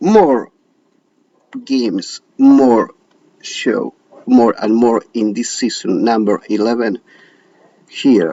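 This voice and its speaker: A man with an Argentine accent speaks at a very slow pace. He leaves long, frequent pauses. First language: Spanish. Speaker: show host. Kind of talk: casual direct-to-camera talk. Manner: halting, many hesitations.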